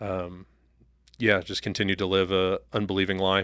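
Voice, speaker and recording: Bright and sharp in tone, a man's fairly low voice moves at a moderate pace. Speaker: new church staff member. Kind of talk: casual interview chat.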